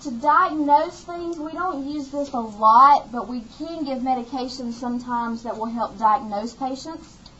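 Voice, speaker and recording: A woman with an Alabama accent, high in pitch with ordinary pitch variation, at a moderate pace amid audible room echo. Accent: Southern US (Alabama). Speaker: nursing instructor. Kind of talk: lecture.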